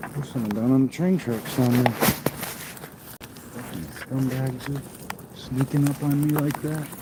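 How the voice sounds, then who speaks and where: The speech has long, frequent pauses. Noticeable background noise is present. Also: man, medium pitch for a man, fairly even intonation, moderate pace. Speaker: outdoor vlogger. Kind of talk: casual vlog narration while hiking. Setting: outdoors. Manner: loud.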